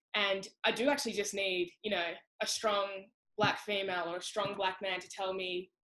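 At a moderate pace, a woman speaks with a bright, sharp, passionate tone. Her pitch is medium and her intonation fairly even. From Australia. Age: young. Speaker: sprinter; interviewee. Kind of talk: interview answer. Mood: reflective, candid. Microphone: video call.

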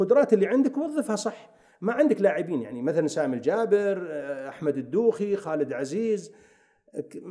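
A man's high voice at a moderate pace, swinging very widely in pitch against a quiet background. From Saudi Arabia. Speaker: football coach. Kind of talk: casual interview. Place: studio. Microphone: studio mic.

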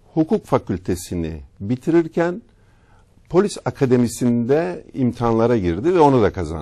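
A man's dark, mellow voice at a fairly slow pace, with very wide pitch swings, against a quiet background. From Turkey, Marmaris; Turkey. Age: 60s. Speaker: retired business executive; TV talk show guest. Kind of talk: interview, life story. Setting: studio. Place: studio. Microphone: lapel.

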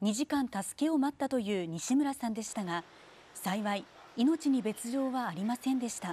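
Her voice high in pitch, a woman speaks at a moderate pace in a dark, mellow tone with lively intonation. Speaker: news narrator. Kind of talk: TV news narration.

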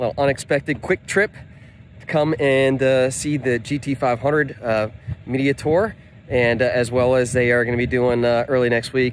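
A man at a moderate pace with fairly even intonation, dry sound with no echo, and light background noise. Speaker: car parts business vlogger. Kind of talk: casual vlog chat. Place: street. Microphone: phone near.

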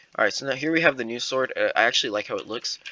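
A man talks at a very fast clip. His pitch sits in the middle range and rises and falls in an ordinary way. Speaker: Scratch tutorial YouTuber. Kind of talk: casual gameplay reaction video. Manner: filler-heavy, casual, halting.

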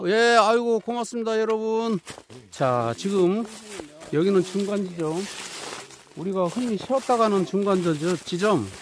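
A fairly slow pace with long, frequent pauses, dry sound with no echo and light background noise. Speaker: vlogger filming an elder. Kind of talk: casual vlog talk to camera. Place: forest. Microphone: phone near.

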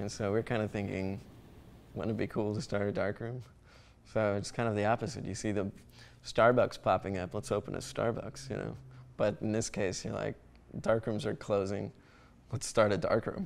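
Light background noise sits behind a man with a fairly low pitch and vocal fry, speaking at a moderate pace with ordinary pitch variation and long, frequent pauses. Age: 20s. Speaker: darkroom co-founder and photographer. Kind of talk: interview. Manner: halting, many fillers. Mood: relaxed, amused. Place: home room. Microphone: lapel.

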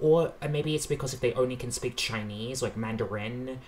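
Against light background noise, a man with an Australian accent talks at a medium pitch. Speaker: reaction youtuber. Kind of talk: casual reaction commentary. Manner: hesitant, many fillers. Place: home room.

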